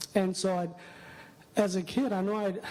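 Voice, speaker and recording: The speaker talks with a Spanish accent. Noticeable background noise runs underneath. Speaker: audience member, math education specialist. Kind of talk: audience question at a conference session. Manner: halting.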